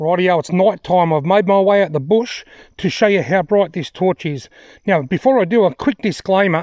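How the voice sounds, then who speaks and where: A man talks at a high pitch with ordinary pitch variation. The sound is dry and close with no echo, over a quiet background. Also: moderate pace. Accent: Australian. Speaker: outdoor gear reviewer. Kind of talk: product review vlog. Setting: outdoors in the bush.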